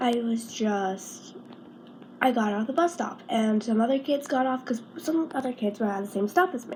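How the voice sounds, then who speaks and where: Noticeable background noise sits under a woman's voice. She speaks at a moderate pace with ordinary pitch variation. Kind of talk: casual story time talk.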